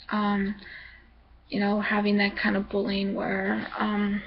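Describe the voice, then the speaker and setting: Against noticeable background noise, the words come out very slowly. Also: woman. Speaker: vlogger. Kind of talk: casual vlog monologue. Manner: hesitant, many fillers.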